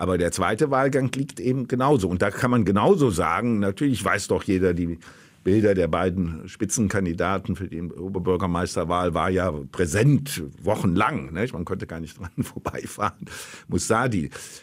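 A man speaks at a very deep, low pitch with lively intonation. The recording is very clean, with a silent background. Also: moderate pace. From Germany, Cologne. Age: 70s. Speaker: political science professor. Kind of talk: interview.

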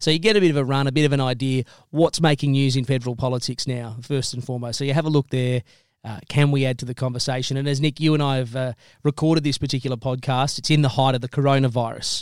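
The man talks very fast, with an Australian accent and fairly even intonation. His pitch is medium, and the sound is dry and close with no echo. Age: young. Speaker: talk radio host. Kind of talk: interview.

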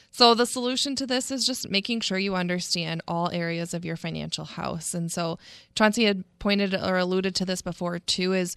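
In a quiet background with a dry, close sound and no echo, a woman with a normal speaking voice talks at a moderate pace in a medium pitch. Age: 20s. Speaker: financial advisor. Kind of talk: casual chat. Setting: studio.

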